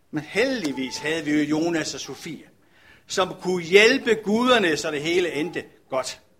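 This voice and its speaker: A man with a high voice and lively, bouncing intonation speaks at a fairly slow pace. Noticeable background noise runs underneath. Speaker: pastor. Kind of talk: sermon.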